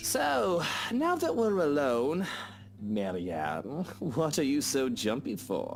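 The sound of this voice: A man puts on a character voice, slow and fairly high-pitched with vocal fry. His pitch swings very widely.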